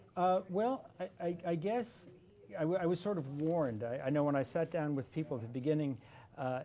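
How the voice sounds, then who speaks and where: The delivery moves at a fairly quick pace with lively intonation. The tone is dark and mellow. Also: man, fairly high pitch for a man. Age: 60s. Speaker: political candidate. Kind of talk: interview. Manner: halting, many repeated words.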